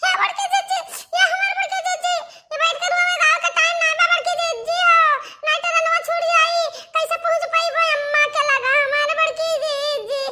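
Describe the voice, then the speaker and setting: A woman uses a cartoonish character voice at an extremely high pitch. Her pitch swings very widely. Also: moderate pace. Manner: repetitive, keeps calling out.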